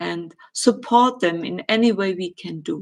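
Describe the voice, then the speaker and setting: The recording is very clean, with a silent background. A woman with a German accent speaks very slowly at a medium pitch. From Germany. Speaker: spiritual medium and astrologer. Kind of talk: live stream Q&A. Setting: live stream. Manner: hesitant, with filler words.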